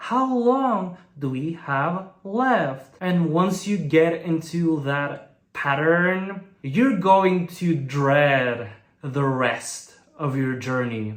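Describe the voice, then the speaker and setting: The speaker has a Bulgarian accent and talks at a very slow pace with very wide pitch swings. Audible room echo is present. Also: man, fairly high pitch for a man. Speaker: language learning youtuber. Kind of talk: vlog monologue.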